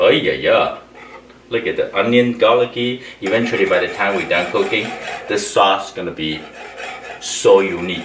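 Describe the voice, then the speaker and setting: Through audible room echo and noticeable background noise, a man talks at a moderate pace with long, frequent pauses. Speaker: chef. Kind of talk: cooking tutorial. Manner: animated.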